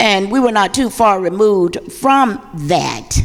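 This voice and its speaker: Vocal fry colors this very slow delivery in an Alabama accent. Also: woman. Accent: Southern US, Alabama. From US South, Birmingham, Alabama (Ensley). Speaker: pastor. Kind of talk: panel discussion. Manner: loud.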